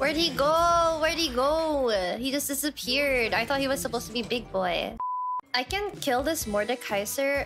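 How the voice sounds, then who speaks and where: Over clear music in the background, a woman with a high pitch speaks with lively intonation at a moderate pace. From Philippines. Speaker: Twitch streamer, gamer. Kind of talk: casual gaming stream commentary. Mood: playful, dramatic frustration. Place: home room.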